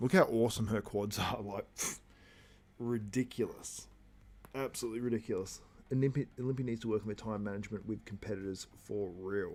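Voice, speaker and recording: Fairly low in pitch, a man with a strong Australian accent talks with fairly even intonation. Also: fairly quick pace. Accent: broad Australian. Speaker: bodybuilding commentator. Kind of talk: live stream watchalong commentary. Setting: live stream.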